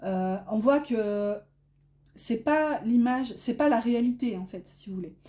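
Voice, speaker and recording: With a northern French accent, a woman speaks at a very slow pace, her fairly high pitch carrying a dark, mellow tone. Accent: northern French (ch'ti) accent showing. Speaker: tarot card reader. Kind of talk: tarot reading. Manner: hesitant, many fillers.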